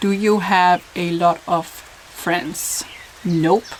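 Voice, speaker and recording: Background noise is noticeable throughout. Her intonation, a woman's, stays fairly even. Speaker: YouTuber. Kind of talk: casual talk to camera.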